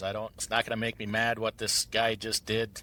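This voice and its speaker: A man with a strong Midwestern accent talks very fast at a medium pitch, his tone bright and sharp. The recording is very clean, with a silent background and a dry, close sound with no echo. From Central Wisconsin, US Midwest. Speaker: truck owner and trucking entrepreneur. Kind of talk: podcast interview.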